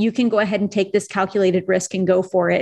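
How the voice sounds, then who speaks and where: The woman talks at a fairly quick pace with an energetic tone. Her background is quiet. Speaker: NFT artist and founder. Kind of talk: interview. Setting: remote recording.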